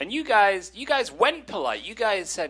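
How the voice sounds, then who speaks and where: At a fairly slow pace, a man talks with a British accent. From England. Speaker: stand-up comedian. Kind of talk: stand-up.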